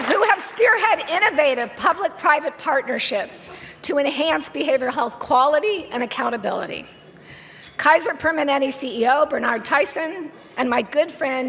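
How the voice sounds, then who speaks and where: Over noticeable background noise, a woman with a West Coast US accent speaks in an animated tone. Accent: General American, West Coast. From San Francisco Bay Area. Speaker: business executive receiving award. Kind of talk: acceptance speech. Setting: stage with audience at awards dinner.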